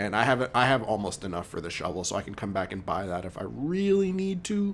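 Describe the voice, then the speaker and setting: At a very fast pace, a man talks at medium pitch with very wide pitch swings. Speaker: video game streamer. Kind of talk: live gameplay commentary. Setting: live stream at home with headphones. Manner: loud; casual, many fillers. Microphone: mic very close to mouth, sounds loud.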